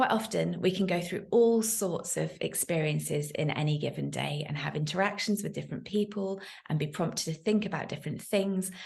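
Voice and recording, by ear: A woman with vocal fry and a slightly mellow tone speaks at a moderate pace in a fairly low pitch with lively intonation.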